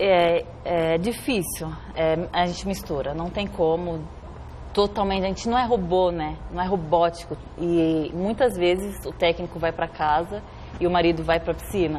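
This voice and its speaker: Against noticeable background noise, a woman with a fairly low pitch talks at a fairly slow pace with fairly even intonation. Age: 30s. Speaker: Olympic swimmer. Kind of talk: TV interview.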